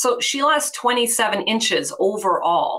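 Her pitch is fairly high, and this woman's voice shows ordinary pitch variation. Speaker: fitness coach for menopausal women. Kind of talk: interview. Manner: halting.

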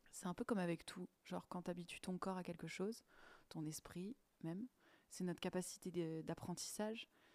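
The woman's voice is calm and fairly low in pitch, with fairly even intonation at a moderate pace. Her recording sounds dry and close, with no echo. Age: 20s. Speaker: podcast host. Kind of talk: solo podcast monologue.

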